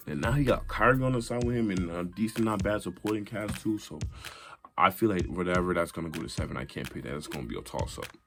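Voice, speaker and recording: A man speaks very fast at a fairly low pitch with lively intonation, music playing in the background. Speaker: amateur YouTuber, NBA commentator. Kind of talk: casual vlog commentary. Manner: halting, repeats words.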